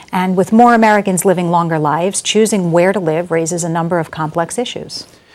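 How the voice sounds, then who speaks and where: At a fairly quick pace, a woman speaks in a medium pitch with a plain, everyday voice. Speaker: TV show co-host, professor. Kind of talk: TV talk show hosting.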